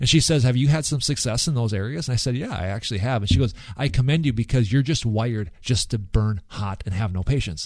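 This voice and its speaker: Speaking at a very fast pace with hardly any pauses, a man uses a medium pitch, ordinary pitch variation and a somewhat breathy sound. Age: 40s. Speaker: podcast co-host. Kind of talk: casual faith-based podcast conversation. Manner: halting, frequent repeated words and fillers.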